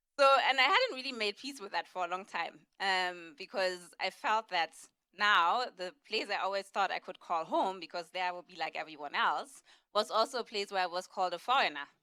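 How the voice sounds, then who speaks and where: Speaking at a fairly quick pace with a German accent, a woman uses a medium pitch, lively intonation, a bright, sharp tone and big swings in loudness. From Germany, Berlin. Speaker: panelist. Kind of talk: panel discussion.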